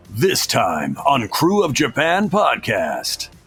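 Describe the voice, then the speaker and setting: Over faint background music, a man uses a put-on character voice and speaks at a very slow pace. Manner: dramatic, announcer-like.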